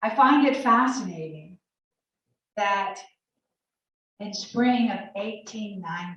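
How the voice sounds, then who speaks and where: A woman's medium-pitched, somewhat breathy voice with a Southern US accent, ordinary pitch variation and a very slow pace. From Alabama. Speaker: college professor. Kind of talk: guest talk at church.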